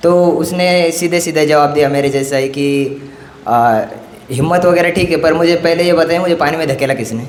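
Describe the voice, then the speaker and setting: Over noticeable background noise and audible room echo, a man talks at a fairly high pitch with fairly even intonation. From Marathwada, Maharashtra, India. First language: Marathi (speaking Hindi). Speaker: student activist speaker. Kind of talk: conference speech. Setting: stage at a youth conference. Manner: halting, many fillers and restarts.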